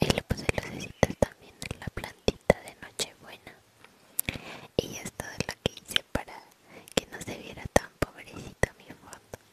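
A woman's soft-spoken whispering at a fairly slow pace, the sound dry with no echo, over loud background noise. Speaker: ASMR creator. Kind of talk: soft-spoken ASMR chat. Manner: soft intimate whisper. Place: home room. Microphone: studio mic.

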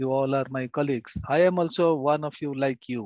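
A man talks at a moderate pace over a quiet background. The sound is dry, with no echo. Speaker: guest speaker professor. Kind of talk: webinar greeting and small talk. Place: home room. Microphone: video call.

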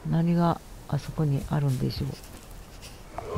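Lively in intonation and gentle in tone, the voice moves at a moderate pace over noticeable background noise. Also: woman. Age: 70s. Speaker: gamer. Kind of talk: gameplay commentary. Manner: gentle, chatty.

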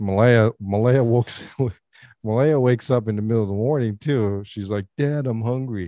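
Over a quiet background, a man speaks in a dark, mellow tone with ordinary pitch variation, and the sound is dry with no echo. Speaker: podcast co-host. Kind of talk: casual podcast storytelling. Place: home room. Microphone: studio mic.

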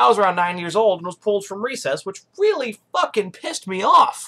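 The man's voice has a bright, sharp tone. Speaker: political show host. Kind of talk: casual vlog chat. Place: home room. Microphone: webcam.

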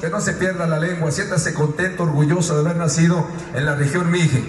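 An energetic, high-pitched man's voice at a fairly quick pace, with audible room echo and light background noise. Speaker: rodeo announcer / radio host. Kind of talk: rodeo event announcer speech to crowd. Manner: energetic, friendly, emphatic. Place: stadium.

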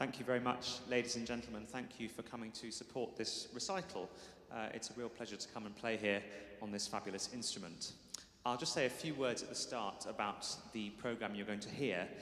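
A man talks at a fairly quick pace with ordinary pitch variation. Audible room echo surrounds the voice. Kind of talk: spoken programme introduction to an audience. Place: church.

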